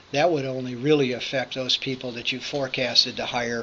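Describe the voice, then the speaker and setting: A man at a medium pitch speaks in a monotone, flat intonation amid noticeable background noise. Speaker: workforce agency business services manager. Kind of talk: online information session presentation. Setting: recorded via computer, presenting remotely. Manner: fast.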